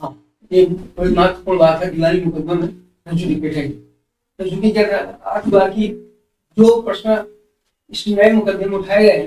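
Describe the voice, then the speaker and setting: His voice has a dark, mellow tone and sits high in pitch. The man's intonation is fairly even. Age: 70s. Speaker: senior civil lawyer. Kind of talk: interview answer.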